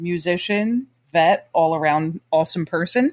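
Quiet background, dry and close sound with no echo. A woman with a fairly low pitch speaks at a fairly slow pace in an ordinary speaking voice. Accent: American. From Trenton, New Jersey. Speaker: podcast host. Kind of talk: casual interview chat.

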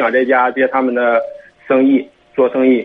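A man speaks at a fairly slow pace and medium pitch against noticeable background noise. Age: 20s. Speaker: caller seeking advice. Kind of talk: radio call-in consultation.

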